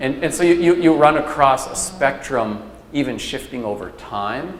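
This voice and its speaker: Lively intonation from a man with an American accent, fairly high in pitch, at a moderate pace over noticeable background noise. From Minnesota, Leech Lake. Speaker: lecturer. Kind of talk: lecture Q&A. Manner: casual, many fillers.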